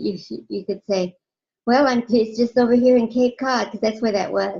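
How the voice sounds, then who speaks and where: A woman's dark, mellow tone moves at a fairly quick pace with fairly even intonation. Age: 50s. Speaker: watercolor artist. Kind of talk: casual chat. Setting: video call. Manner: fast.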